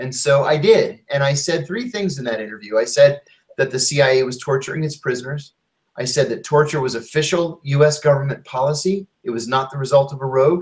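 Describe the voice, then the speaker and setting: Somewhat breathy, a man speaks at a fairly quick pace with a fairly high pitch. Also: ordinary pitch variation. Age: 50s. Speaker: former intelligence officer and author. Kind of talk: interview testimony.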